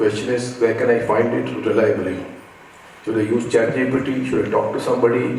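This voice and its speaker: A man talks at an unhurried, moderate speed, with audible echo in the room and noticeable noise behind him. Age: 60s. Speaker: education technology speaker. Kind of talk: conference talk.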